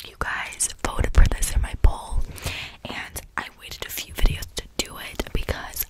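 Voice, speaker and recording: Whispering at a moderate pace, a woman speaks. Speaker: ASMR YouTuber. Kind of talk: casual vlog chat. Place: home room. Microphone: studio mic.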